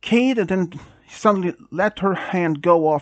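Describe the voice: Plain reading aloud, pitch varying in an ordinary way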